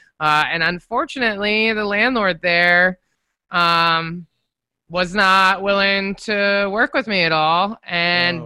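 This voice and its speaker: A woman's bright, sharp voice in an American accent, medium-pitched, very slow, with very even loudness. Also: ordinary pitch variation. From Northern Virginia (Falls Church). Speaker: podcast studio owner. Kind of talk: casual interview. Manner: animated, laughs often.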